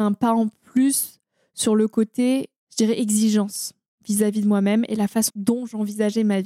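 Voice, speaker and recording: A woman's fairly high-pitched voice at a moderate pace, dry and close with no echo. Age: 20s. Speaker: environmental storyteller and podcaster. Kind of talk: interview conversation. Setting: recorded in person in a holiday house near the ocean. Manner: hesitant, with fillers and repetitions.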